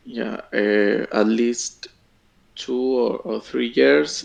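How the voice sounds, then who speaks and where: Very slowly, a man speaks with a non-native accent. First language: not English. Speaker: job candidate, IT engineer. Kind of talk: job interview. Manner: halting, many fillers and repeats.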